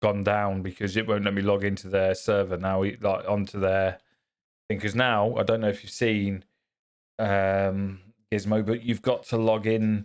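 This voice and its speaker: Monotone, flat intonation from a man at a fairly low pitch. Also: very clean recording, silent background. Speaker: gaming streamer. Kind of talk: live gameplay stream chatting with viewers. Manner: loud.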